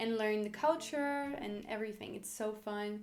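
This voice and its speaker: A woman's fairly high voice in a French accent, with ordinary pitch variation, a fairly slow pace and audible room echo. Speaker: language learning YouTuber. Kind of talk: casual vlog tips.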